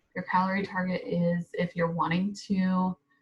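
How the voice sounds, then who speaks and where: A woman speaks fairly slowly at a medium pitch. Her intonation is monotone and flat, and her voice is somewhat breathy. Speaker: fitness vlogger. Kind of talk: tutorial. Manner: casual, many fillers.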